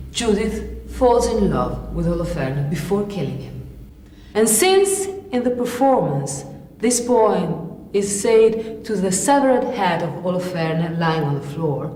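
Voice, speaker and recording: A woman's medium-pitched voice at a fairly slow pace, lively in intonation, with audible room echo and noticeable background noise. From Italy. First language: Italian. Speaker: theatre actress. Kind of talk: lecture-demonstration.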